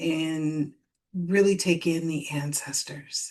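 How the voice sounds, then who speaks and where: A woman's calm, soothing tone at a very slow pace. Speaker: spiritual coach. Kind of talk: live stream talk to audience.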